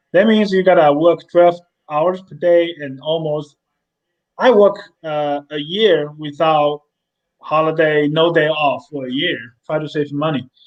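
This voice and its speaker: A man speaks with a Chinese accent in a fairly high pitch. His intonation is fairly even and his pace very slow. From mainland China. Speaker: company CEO. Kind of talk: interview. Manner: halting, repeats words.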